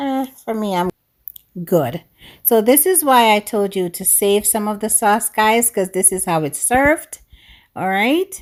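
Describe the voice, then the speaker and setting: A woman with a Jamaican accent speaks at a fairly slow pace, her pitch fairly high and her intonation lively. The recording is very clean, with a silent background. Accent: Jamaican English, with some patois. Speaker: cooking YouTuber. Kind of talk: cooking tutorial. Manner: animated.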